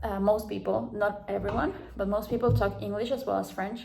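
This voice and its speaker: The room echo can be heard clearly. A woman speaks at a moderate pace. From South America. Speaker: vlogger. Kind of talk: casual vlog talk. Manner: halting, many fillers.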